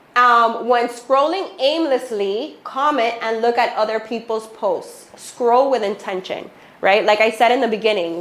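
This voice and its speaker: Fairly slow, animated speech from a woman with a fairly high pitch and a Miami accent, ordinary pitch variation, and noticeable background noise. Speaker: real estate agent and social media speaker. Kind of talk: workshop talk to loan officers. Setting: office with small audience.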